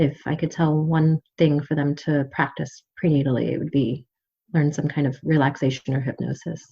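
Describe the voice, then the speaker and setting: A woman talks at a moderate pace with a very deep, low pitch. Her voice is somewhat breathy and her intonation monotone and flat. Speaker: midwife. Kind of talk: casual chat. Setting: podcast interview.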